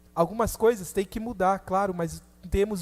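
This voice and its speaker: This man speaks at a fairly slow pace in a high pitch. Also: very clean recording, silent background. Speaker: preacher. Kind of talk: sermon.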